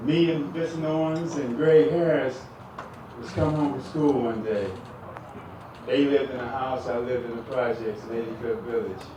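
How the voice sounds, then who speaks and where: A man at medium pitch talks at a moderate pace with ordinary pitch variation, big swings in loudness, and long, frequent pauses. Noticeable background noise and audible room echo fill the recording. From Oakland, California. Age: 50s. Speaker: former pro basketball player, hall of fame inductee. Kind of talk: acceptance speech.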